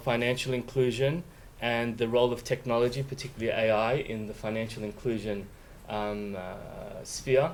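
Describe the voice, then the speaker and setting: With an Australian accent, a man speaks at a moderate pace in a medium pitch with fairly even intonation, and audible room echo. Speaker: law professor. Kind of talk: lecture.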